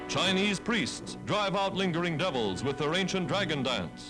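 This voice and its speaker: A man with an American accent at a high pitch and moderate pace, music in the background. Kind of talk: newsreel narration.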